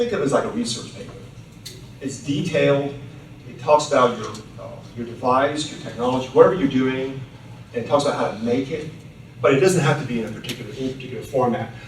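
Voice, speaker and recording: A man with a medium pitch speaks at a very fast pace with fairly even intonation, big swings in loudness, and long, frequent pauses. The recording has audible room echo and noticeable background noise. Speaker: patent attorney. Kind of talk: lecture.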